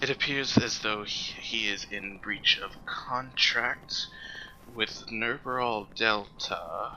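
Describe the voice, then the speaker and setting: Putting on a character voice at a medium pitch, a man speaks at a very slow pace over clear background noise. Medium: actual play. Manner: fussy, officious.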